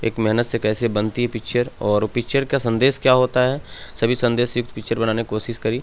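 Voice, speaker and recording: The man's pitch is medium. He speaks in a monotone, flat intonation. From India, Gorakhpur district (eastern Uttar Pradesh), village; Uttar Pradesh, India. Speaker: film actor. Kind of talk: interview. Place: home room. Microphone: handheld.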